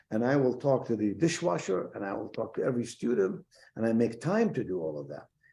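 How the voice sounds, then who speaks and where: This man's voice sits at a medium pitch and has a dark, mellow tone. He talks at a fairly quick pace with very wide pitch swings. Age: 70s. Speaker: university president. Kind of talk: interview. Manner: animated.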